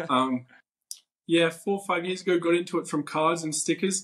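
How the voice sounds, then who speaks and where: A man talks with an Australian accent. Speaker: ticket collector. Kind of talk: podcast interview.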